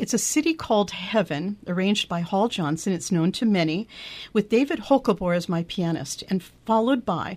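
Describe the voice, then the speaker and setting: In a very clean recording with a silent background, a woman at a medium pitch lets her voice swing very widely in pitch. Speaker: radio host. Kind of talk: casual chat. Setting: studio. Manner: animated.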